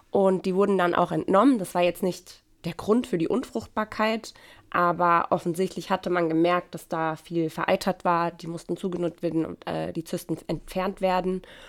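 On a very clean recording with a silent background, the speaker goes at a moderate pace with fairly even intonation. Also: woman, fairly low pitch for a woman. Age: 30s. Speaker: mother and church volunteer. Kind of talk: testimony. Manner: hesitant, many fillers.

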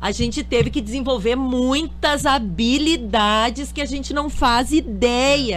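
A woman speaks at a fairly slow pace. She leaves hardly any pauses. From Porto Alegre, southern Brazil. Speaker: dentist and dulce de leche producer. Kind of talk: radio interview. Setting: radio studio.

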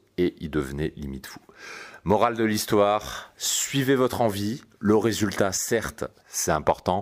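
A man speaks at a fairly slow pace with a fairly low pitch, a calm, relaxed tone, lively intonation and big swings in loudness. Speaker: dating coach and podcast host. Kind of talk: solo podcast monologue.

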